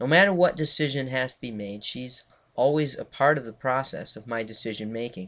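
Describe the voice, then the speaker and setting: On a very clean recording with a silent background, a man with an American accent uses an unremarkable speaking voice at medium pitch, with ordinary pitch variation and a fairly quick pace. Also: big swings in loudness. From Connecticut. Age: 30s. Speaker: student and reverend. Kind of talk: class speech. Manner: formal.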